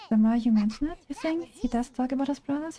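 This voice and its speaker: Music plays in the background as a woman with a German accent speaks. Her pitch is high, with ordinary variation. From Germany. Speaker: gaming streamer. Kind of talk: casual live-stream chat while gaming. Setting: live stream. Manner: animated.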